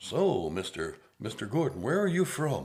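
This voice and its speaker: A man speaks in a put-on character voice at a medium pitch. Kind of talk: polished, formal broadcaster. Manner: smooth, professional.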